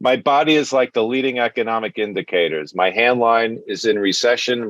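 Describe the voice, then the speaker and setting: The speaker, with a strong Brooklyn accent, keeps a moderate pace and ordinary pitch variation in a dry, close sound with no echo. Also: man. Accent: thick Brooklyn. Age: 60s. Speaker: stand-up comedian. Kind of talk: stand-up.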